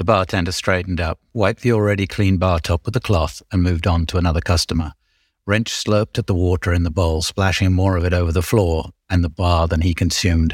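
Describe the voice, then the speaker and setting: Dry and close with no echo, a man's very deep, somewhat breathy voice moves at a fairly quick pace with fairly even intonation. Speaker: podcast co-host and author. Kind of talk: audiobook reading aloud, narrating a scene. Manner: performing, stumbling over the read.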